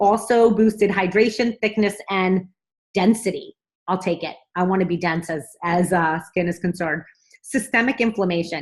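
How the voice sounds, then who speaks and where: At a medium pitch, a woman speaks in a somewhat breathy voice with ordinary pitch variation. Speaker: vlogger promoting a nutrition supplement. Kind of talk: casual sales pitch to camera. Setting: at home. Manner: fast; animated.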